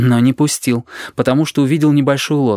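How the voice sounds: With fairly even intonation, the clip offers a natural reading voice.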